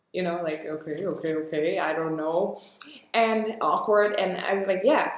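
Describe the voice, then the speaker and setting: Against audible room echo, a woman with a fairly low pitch talks at a moderate pace with ordinary pitch variation. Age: 20s. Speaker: actress. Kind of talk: podcast interview.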